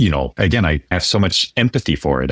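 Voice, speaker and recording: A man talks at a very fast pace in a very deep, low voice with vocal fry. The sound is dry and close, with no echo. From France. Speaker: podcast host, finance. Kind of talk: interview conversation.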